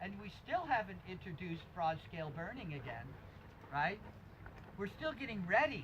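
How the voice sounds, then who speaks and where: Someone with an American accent speaks at a moderate pace, leaving long, frequent pauses. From US Northeast, upper Hudson Valley, New York. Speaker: permaculture teacher. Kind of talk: workshop lecture.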